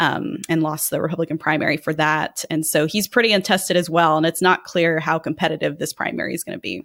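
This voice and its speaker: A woman with an American accent speaks very fast with hardly any pauses, her pitch very deep and low. Her intonation is fairly even, and the sound is dry and close with no echo. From Texas, San Antonio. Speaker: political analyst. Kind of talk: casual political analysis chat.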